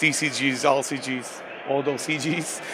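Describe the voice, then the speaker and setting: A man speaks with a Slovak accent at a fairly high pitch. His intonation is monotone and flat. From Slovakia. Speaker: game designer. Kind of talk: interview. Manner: halting, many fillers.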